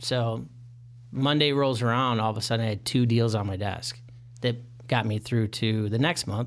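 In an American accent, an ordinary speaking voice moves at a moderate pace over a very clean recording with a silent background. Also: man, medium pitch for a man, fairly even intonation. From Michigan. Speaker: mortgage consultant. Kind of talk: casual interview.

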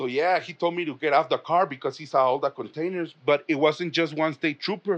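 Speaking with a Spanish accent, a man keeps a fairly quick pace with hardly any pauses, fairly high pitch and fairly even intonation. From Mexico. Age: 30s. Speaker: comedian. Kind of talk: casual chat.

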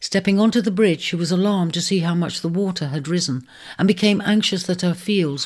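The recording features reading aloud in a natural voice.

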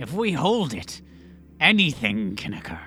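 A man does a put-on character voice with a fairly high pitch and very wide pitch swings. Background noise is clearly heard. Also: moderate pace. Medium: actual play. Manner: theatrical, swaggering.

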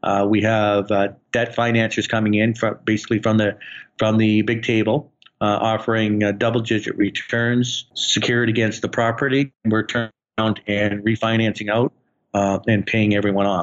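Fairly low-pitched, monotone speech from a man, flat in intonation and moderate in pace. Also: very even loudness. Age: 50s. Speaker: real estate investor. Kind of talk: interview. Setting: phone call.

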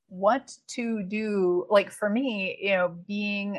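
A woman speaks with an American accent at a medium pitch. She has a normal speaking voice and fairly even intonation. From Wisconsin, small town. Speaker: developmental editor and writing coach. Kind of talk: interview.

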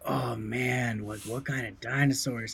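Clear background noise surrounds a man putting on a character voice, his pitch medium and his pace fairly slow. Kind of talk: casual, laid-back. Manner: slow, dazed, wondering.

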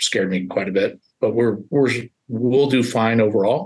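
An ordinary speaking voice, delivered at a moderate pace with fairly even intonation. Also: man. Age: 50s. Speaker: print shop owner. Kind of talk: podcast interview.

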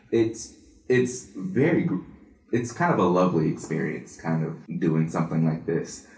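A man with a very deep, low pitch speaks at a moderate pace, his intonation lively. The room echo is audible. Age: 20s. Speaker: business student and singer. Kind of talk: interview.

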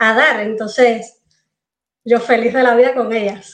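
This woman speaks with a Cuban accent and a high pitch. Her pace is moderate. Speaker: entrepreneur, former engineer. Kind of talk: interview.

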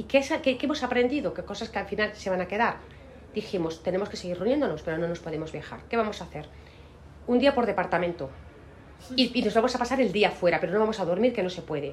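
A woman talks at a very fast pace with a medium pitch. Her intonation is lively. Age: 50s. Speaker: law firm managing partner. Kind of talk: interview.

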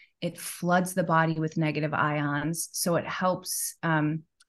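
With an American accent and a normal speaking voice, a woman talks at a fairly low pitch with ordinary pitch variation against a quiet background. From US Midwest, Chicago. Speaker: yoga teacher and wellness business owner. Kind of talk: casual interview chat.

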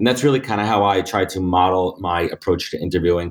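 The speech is very fast, in a New York accent. The recording is very clean, with a silent background. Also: man. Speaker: recruiting firm founder. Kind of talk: interview conversation.

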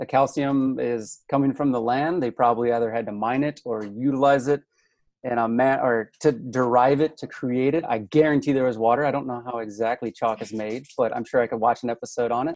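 With a Midwestern accent and an enthusiastic tone, a man at medium pitch talks at a fairly quick pace, with a dry, close sound with no echo and a quiet background. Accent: Midwest American. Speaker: podcast guest, hydrologist and show host. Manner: enthusiastic, casual.

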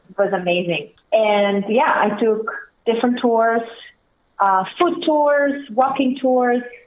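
Very slow, lively speech from a woman with a fairly high voice, in a room with audible echo. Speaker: tour guide. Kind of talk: interview.

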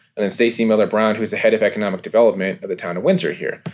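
A man speaks with a medium pitch. Music can be heard behind him. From California. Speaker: minor league baseball team co-owner. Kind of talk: interview.

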